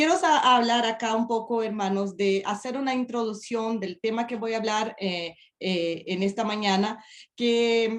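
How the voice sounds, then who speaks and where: Here a woman with a Portuguese accent speaks in a fairly high voice. Her pace is fairly slow, with ordinary pitch variation. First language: Portuguese (speaking Spanish). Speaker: preacher. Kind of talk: sermon. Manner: halting.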